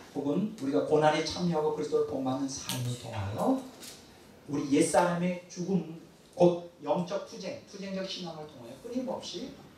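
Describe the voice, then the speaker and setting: Speaking at a moderate pace with lively intonation, a man is heard through noticeable background noise and audible room echo. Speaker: pastor. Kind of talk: sermon. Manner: animated.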